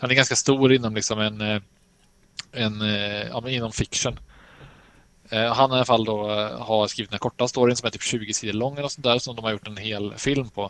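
A man speaks at a medium pitch and moderate pace in a monotone, flat delivery, leaving long, frequent pauses. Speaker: podcast co-host. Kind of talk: casual chat about games and films.

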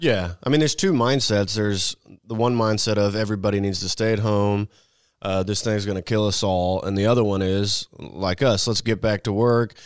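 An ordinary speaking voice with an American accent moves at a moderate pace with fairly even intonation, recorded very cleanly over a silent background. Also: man, fairly low pitch for a man. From Missouri, US Midwest. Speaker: political podcast panelist. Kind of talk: casual panel chat.

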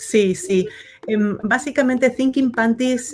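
A woman speaks over noticeable background noise. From Argentina, Buenos Aires outskirts. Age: 50s. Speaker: actress and designer. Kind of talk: interview. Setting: live recorded vodcast. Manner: hesitant, many fillers.

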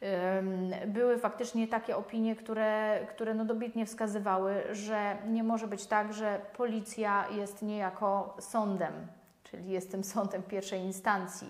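A woman's medium-pitched, monotone, flat delivery at a fairly slow pace. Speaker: lawyer. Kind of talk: legal explainer video. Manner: halting, with many fillers.

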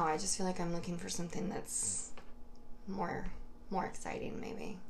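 With an American accent, a woman speaks at a moderate pace with ordinary pitch variation as room echo is audible. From New York, Hudson Valley. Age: 20s. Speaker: dating podcast guest. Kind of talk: casual chat.

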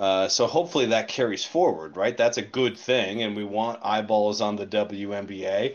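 A man speaks in a plain, everyday voice, fairly low in pitch. He keeps a moderate pace with hardly any pauses. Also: ordinary pitch variation. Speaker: co-host. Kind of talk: casual chat. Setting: Twitter Spaces audio.

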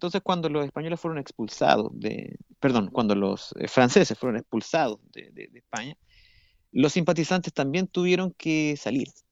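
A man's fairly high voice moves at a fairly quick pace, with lively intonation and big swings in loudness. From Chile, Santiago. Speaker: classical guitarist and university professor. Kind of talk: radio interview. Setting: remote link to radio studio. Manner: halting, with many repetitions and fillers.

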